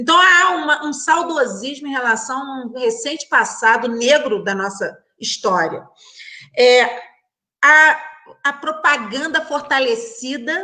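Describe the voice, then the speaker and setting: Very slow, raised and projected speech from a woman, high-pitched and bright and sharp in tone, with lively intonation. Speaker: criminal judge on a debate panel. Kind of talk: online panel debate. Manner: halting, many repetitions.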